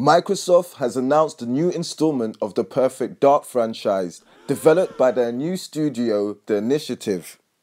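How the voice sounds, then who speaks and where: With a British accent, a man speaks at a moderate pace with lively intonation and hardly any pauses, in a very clean recording with a silent background. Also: medium pitch for a man. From Britain. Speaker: gaming YouTuber. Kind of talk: casual video commentary. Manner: energetic, hype.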